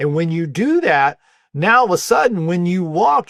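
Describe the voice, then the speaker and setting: In a plain, everyday voice, a man talks at a fairly quick pace with lively intonation and fairly high pitch. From US South, North Carolina (Wilmington). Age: 60s. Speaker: muscle repair and aging expert. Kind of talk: interview, explaining.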